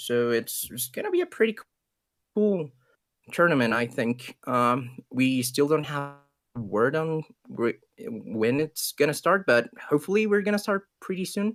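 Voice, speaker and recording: Someone with a Spanish accent speaks at a fairly slow pace with music in the background. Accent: Spanish accent, noticeable. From Ecuador. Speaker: esports caster. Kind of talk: live commentary.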